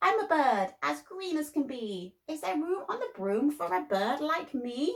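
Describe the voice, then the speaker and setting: In a put-on character voice, a woman talks at a moderate pace with a shrill, high pitch that swings very widely. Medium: read story.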